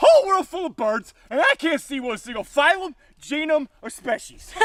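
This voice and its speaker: High-pitched, put-on character voice at a moderate pace. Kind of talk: comic overacting. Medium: comedy sketch. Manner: loud, hammy, folksy.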